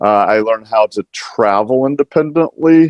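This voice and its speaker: Dry and close with no echo, the recording catches a man with an American accent speaking at a moderate pace with ordinary pitch variation. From US Pacific Northwest, Washington state. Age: 60s. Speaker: nonprofit executive, blind advocate. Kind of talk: panel discussion. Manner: halting, many fillers.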